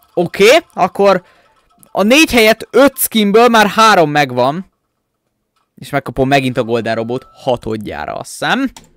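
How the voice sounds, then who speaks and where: A man with a high pitch speaks in an animated tone at a fairly slow pace, with very wide pitch swings, big swings in loudness and long, frequent pauses, on a dry recording with no echo and faint music in the background. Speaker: gaming YouTuber; gaming youtuber. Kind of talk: gameplay commentary. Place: home room.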